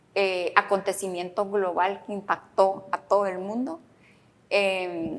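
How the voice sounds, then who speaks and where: Her pace is very slow. The woman's pitch sits in the medium range. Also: fairly even intonation. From Guatemala. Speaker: podcast host, author. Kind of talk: interview.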